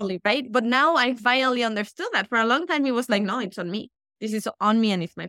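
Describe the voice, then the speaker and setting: A woman with a Mexican accent talks very fast at a fairly high pitch, her bright, sharp tone showing ordinary pitch variation in a dry, close sound with no echo. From Mexico. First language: Spanish. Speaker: life coach. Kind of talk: casual interview. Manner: animated.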